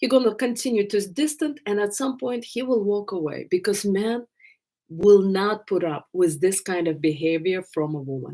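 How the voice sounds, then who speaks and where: A woman with an Eastern European accent and very wide pitch swings. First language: not English. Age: 50s. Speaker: love coach. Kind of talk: live stream Q&A. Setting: live stream.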